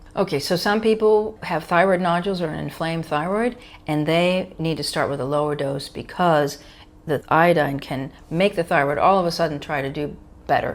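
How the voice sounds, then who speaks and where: A woman's plain, everyday voice with an American accent, fairly low in pitch with ordinary pitch variation, at a moderate pace. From US, New York. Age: 60s. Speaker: physician. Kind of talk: interview Q&A.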